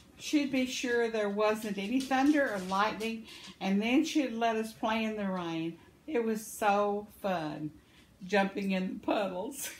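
A woman talks fairly slowly in a somewhat breathy voice with a fairly high pitch, over light background noise. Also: ordinary pitch variation. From Arkansas, US South. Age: 70s. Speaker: vlogger, crafter. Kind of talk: elder life story, reminiscing about childhood (ditch, boat play) in a folksy tone. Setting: video vlog, home. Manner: warm, chatty, homespun, laughs often, meandering; cheerful, rambling. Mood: warm, cheerful. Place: home room. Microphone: phone near.

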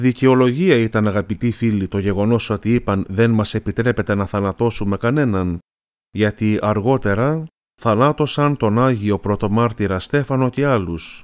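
In a very clean recording with a silent background and a dry, close sound with no echo, a man speaks in a normal speaking voice at a fairly low pitch, with ordinary pitch variation, a moderate pace and very even loudness. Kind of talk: religious catechism talk. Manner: formal.

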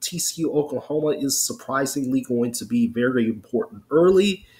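The man's voice is somewhat breathy, with very wide pitch swings. He speaks at a moderate pace. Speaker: sports show host. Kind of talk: commentary. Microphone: webcam.

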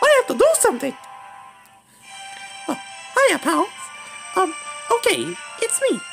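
A cartoonish character voice is heard with clear music playing in the background. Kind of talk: fan-made cartoon impression. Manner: chipper, excitable.

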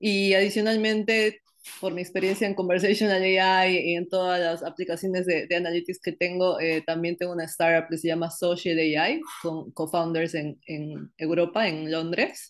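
Against a quiet background, a woman speaks at a moderate pace with a fairly low pitch and fairly even intonation. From Peru, Iquitos (Amazon region); Peru. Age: 20s. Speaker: tech startup cofounder; interviewee. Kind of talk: interview. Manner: hesitant, many fillers. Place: home room. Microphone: video call.

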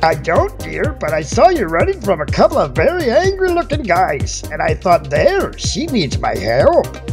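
A man in a put-on character voice talks with hardly any pauses over loud background music. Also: moderate pace. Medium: machinima. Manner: warm, fatherly, calls people darling and dear.

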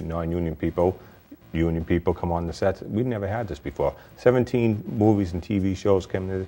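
A man's voice sits very deep and low, moving at a moderate pace with ordinary pitch variation. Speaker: TV talk show co-host. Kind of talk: TV talk show. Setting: studio.

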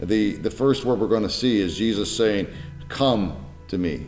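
A man with a fairly low voice speaks at a moderate pace over faint background music. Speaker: pastor. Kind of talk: sermon-style teaching talk. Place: home room.

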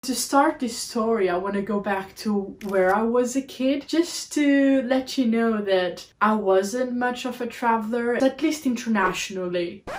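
Speaking at a fairly slow pace with hardly any pauses, a woman with a Portuguese accent has a fairly high pitch. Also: ordinary pitch variation. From Portugal, Algarve border town; Portugal. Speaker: travel vlogger. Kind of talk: podcast monologue. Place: home room.

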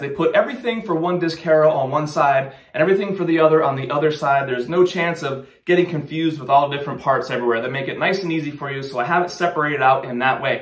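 There's audible room echo as a man speaks very fast with hardly any pauses and ordinary pitch variation. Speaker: outdoor gear channel host. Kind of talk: product unboxing tutorial. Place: studio.

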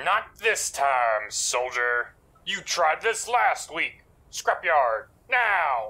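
A man's fairly high voice makes very wide pitch swings at a very slow pace. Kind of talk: comic overacting. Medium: machinima. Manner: commanding, brisk, boastful.

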